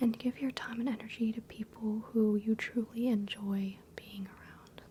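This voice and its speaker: Over noticeable background noise, a woman speaks softly. Her fairly high voice keeps a fairly even intonation. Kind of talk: ASMR role-play, doctor/therapist style. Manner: soft-spoken, calming.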